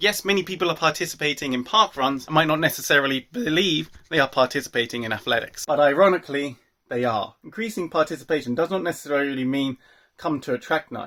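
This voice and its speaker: On a very clean recording with a silent background, a man with a fairly high pitch and a bright, sharp tone speaks at a very fast pace with lively intonation. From UK. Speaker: athletics commentator, video host. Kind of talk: solo talk-to-camera commentary.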